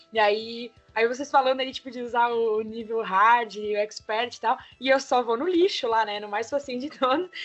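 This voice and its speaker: A woman speaks with a fairly high pitch. Music plays in the background. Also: ordinary pitch variation, moderate pace. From Brazil, Santa Catarina (Brusque). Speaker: podcast co-host. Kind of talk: casual chat. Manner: quiet.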